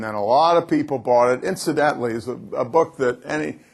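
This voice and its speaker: Here a man talks in an American accent at medium pitch. His pace is moderate, with ordinary pitch variation. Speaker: business speaker. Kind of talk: conference keynote talk. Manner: dynamic, swings from loud to quiet.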